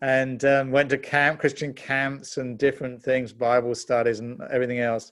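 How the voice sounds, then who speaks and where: Barely pausing, a man speaks at a medium pitch in a monotone, flat intonation. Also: moderate pace. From England. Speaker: pastor and author. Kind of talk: testimony.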